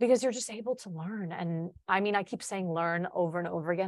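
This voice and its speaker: In a very clean recording with a silent background, a woman speaks at a fairly quick pace with medium pitch and ordinary pitch variation. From Chicago, US Midwest. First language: Polish. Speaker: college senior, future social studies teacher. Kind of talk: casual interview chat.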